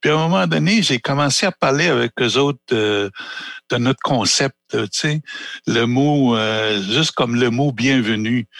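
Lively in intonation, a man speaks at a medium pitch and a fairly slow pace. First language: Anishinaabe (speaking French). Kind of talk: panel discussion. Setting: small theatre.

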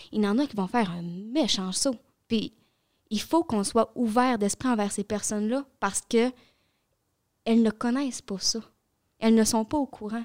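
A woman's fairly high voice at a moderate pace with long, frequent pauses, in a very clean recording with a silent background and a dry, close sound with no echo. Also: ordinary pitch variation. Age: young. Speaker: youth environmental advocate. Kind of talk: casual chat.

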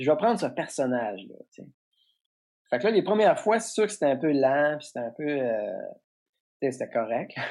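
Speech at a moderate pace broken by long, frequent pauses, over a quiet background. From Quebec, Trois-Pistoles (Bas-Saint-Laurent). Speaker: comedian. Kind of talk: casual interview.

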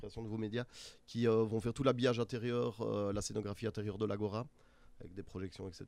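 Speaking at a very fast pace, a man uses a fairly low pitch. His pitch variation is ordinary, and the background is quiet. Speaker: music festival organizer. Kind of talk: interview.

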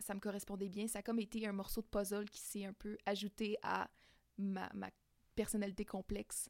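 Monotone, flat intonation marks this woman's delivery. She speaks at a moderate pace with a medium pitch. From Quebec, Abitibi-Témiscamingue. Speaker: queer guest sharing experience. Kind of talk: casual interview. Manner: halting, many fillers.

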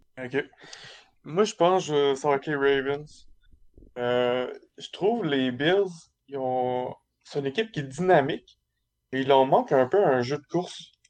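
In a Quebec accent, a man with a fairly high voice speaks at a very slow pace, with long, frequent pauses and ordinary pitch variation. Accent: Québécois French. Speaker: sports podcast panelist. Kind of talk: casual chat.

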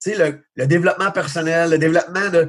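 This man has an ordinary speaking voice and fairly even intonation. He talks at a fairly quick pace. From Quebec, Magog area. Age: 40s. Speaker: baseball coach. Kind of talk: casual interview. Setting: video call.

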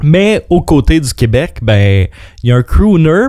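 Lively intonation from a man in a dark, mellow tone at a fairly slow pace. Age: 30s. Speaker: radio co-host. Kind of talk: quiz hosting; casual radio chat.

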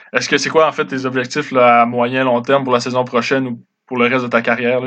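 A man rattles along at a very fast pace with monotone, flat intonation. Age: 20s. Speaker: podcast host. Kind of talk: interview.

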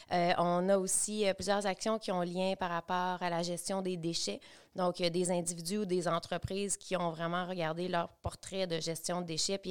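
Talking at a moderate pace, a woman has a plain, everyday voice with fairly even intonation. The recording is very clean, with a silent background. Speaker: local development coordinator. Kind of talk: casual interview chat.

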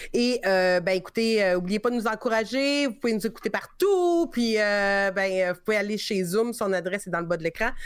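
At a moderate pace, a woman speaks with hardly any pauses. Her pitch varies in an ordinary way. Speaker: podcast host. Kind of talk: casual chat.

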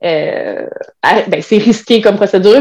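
This woman's voice has a dark, mellow tone. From Quebec, Trois-Rivières. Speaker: web writer and birth doula. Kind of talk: casual interview.

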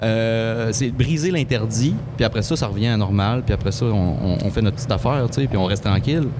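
A man speaks at a medium pitch with a Quebec accent, at a moderate pace with ordinary pitch variation and very even loudness. Noticeable background noise and audible room echo are present. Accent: Québécois French. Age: 30s. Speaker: singer. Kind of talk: casual chat. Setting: live show at a festival.

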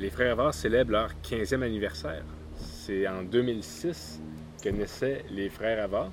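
Over music in the background, a man with a Quebec accent speaks very slowly at a fairly low pitch, his intonation lively. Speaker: podcast host. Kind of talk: casual chat. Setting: outdoors in a backyard.

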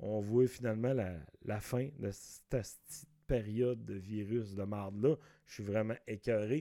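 A man with a Saguenay–Lac-Saint-Jean accent speaks at a very slow pace in a dark, mellow tone. His loudness swings widely, while his intonation stays fairly even. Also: fairly low pitch for a man. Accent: Quebec French, Saguenay–Lac-Saint-Jean. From Quebec, Lac-Saint-Jean. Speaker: comedian and podcast host. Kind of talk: casual solo podcast monologue. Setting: home recording.

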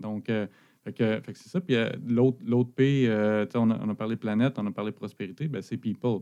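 This man has a dark, mellow tone and a medium pitch with ordinary pitch variation. He talks at a moderate pace, his loudness swinging widely. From Quebec, Abitibi. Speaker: business owner. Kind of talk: interview.

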